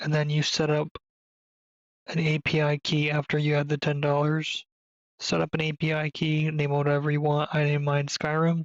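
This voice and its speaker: Soft-spoken, the speaker keeps to a moderate pace. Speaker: gaming YouTuber. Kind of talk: tutorial. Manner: quiet, speaking softly; casual with hesitations.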